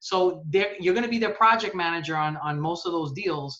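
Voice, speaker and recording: The pace of the talking is fairly quick. It comes in a New York accent. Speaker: sales account manager. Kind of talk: casual interview. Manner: animated.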